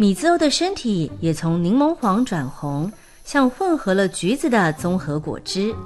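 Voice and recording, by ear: A text is being read aloud. The delivery is in a natural voice.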